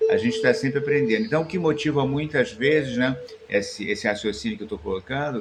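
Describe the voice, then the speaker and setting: A man speaks with a fairly high pitch and very wide pitch swings. Music plays in the background. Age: 60s. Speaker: spiritual teacher and musician. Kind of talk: improvised reflective monologue. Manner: hesitant, frequent fillers.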